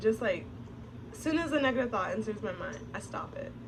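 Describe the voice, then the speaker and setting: A soft-spoken woman in a room with audible echo. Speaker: vlogger. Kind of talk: casual vlog monologue. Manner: reserved, soft-spoken.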